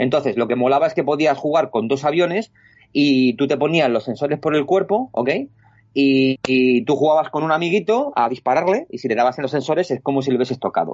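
Speech comes at a fairly quick pace with ordinary pitch variation. It is an ordinary speaking voice. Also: man, fairly high pitch for a man. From Spain, Alcalá de Henares (Madrid region). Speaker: illustrator and artist. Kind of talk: casual interview chat. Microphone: lag on the connection.

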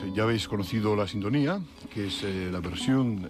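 A fairly low-pitched man with lively intonation over music in the background. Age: 30s. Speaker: radio host. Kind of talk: radio interview.

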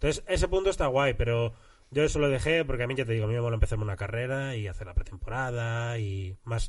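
Somewhat breathy, lively intonation at a very fast pace. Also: man. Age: 30s. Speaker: comedian. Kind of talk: casual chat.

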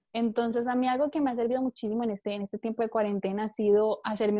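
She has a normal speaking voice, pitched fairly high for a woman. Her intonation stays fairly even. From Colombia. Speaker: entrepreneur. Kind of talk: interview.

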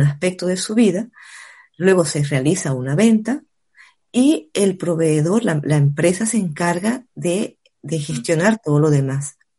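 Somewhat breathy with a dark, mellow tone, a woman speaks at a fairly low pitch over a quiet background. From Venezuela, Caracas. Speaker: network marketing entrepreneur. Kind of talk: casual chat.

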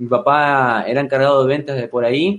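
Against a quiet background, a man with an unremarkable speaking voice talks at a moderate pace and a fairly high pitch. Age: 20s. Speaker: life coach. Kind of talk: interview.

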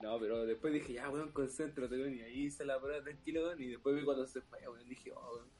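Music plays in the background as a man talks at a very fast pace with hardly any pauses. His intonation is fairly even. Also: fairly high pitch for a man. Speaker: podcast co-host. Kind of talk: casual chat.

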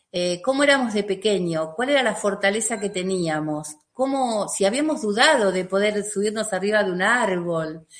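Barely pausing, a woman at medium pitch talks with lively intonation. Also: moderate pace. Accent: Argentine. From Argentina. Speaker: emotional release therapist. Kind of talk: interview.

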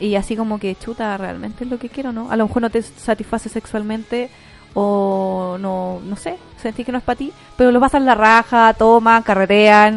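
Speaking with a Chilean accent, a woman uses a fairly high pitch and fairly even intonation at a moderate pace. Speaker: radio host. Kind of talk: casual chat.

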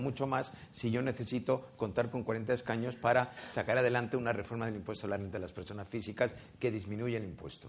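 This man has an unremarkable speaking voice with medium pitch. He talks at a fairly quick pace with ordinary pitch variation. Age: 60s. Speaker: politician. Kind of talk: political debate.

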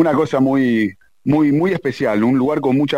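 A man at medium pitch and moderate pace. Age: 40s. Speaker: tango singer. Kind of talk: interview.

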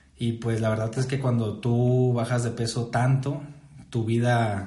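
A man's somewhat breathy, dark and mellow voice, medium in pitch, monotone and flat, fairly slow, with audible room echo. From Mexico, Saltillo, Coahuila. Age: 20s. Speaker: nutritionist and podcast host. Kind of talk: casual chat.

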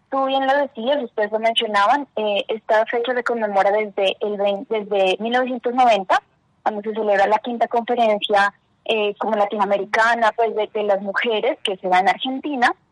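At a moderate pace, the voice keeps a fairly even intonation in a dry, close sound with no echo. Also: woman, fairly high pitch for a woman. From Colombia, Ipiales, Nariño. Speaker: lawyer and advocacy adviser. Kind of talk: radio interview. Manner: frequent hesitations (eh).

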